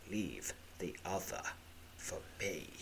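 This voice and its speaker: A man hisses in a put-on character voice. Loud background noise runs behind him. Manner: hissing, commanding.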